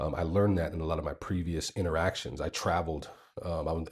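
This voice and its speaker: A man with an American accent speaks at a very fast pace, his pitch very deep and low, his intonation monotone and flat. He sounds somewhat breathy in a very clean recording with a silent background. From United States. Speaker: vlogger. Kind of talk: casual storytelling. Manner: hesitant, many fillers.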